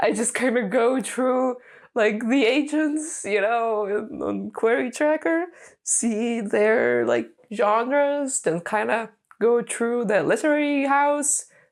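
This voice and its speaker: A woman with a Lithuanian accent speaks very slowly at a very even loudness, her pitch varying in an ordinary way, on a very clean recording with a silent background. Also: fairly high pitch for a woman. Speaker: aspiring novelist and video blogger. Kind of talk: casual vlog. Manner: animated.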